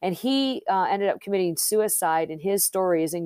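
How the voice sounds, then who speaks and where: With an Upper Midwest accent, a woman speaks at a fairly quick pace in a dark, mellow tone with ordinary pitch variation. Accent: Upper Midwest American. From Southwest Michigan (Plainwell). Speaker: author and marketing professional. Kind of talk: interview. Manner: hesitant, many fillers.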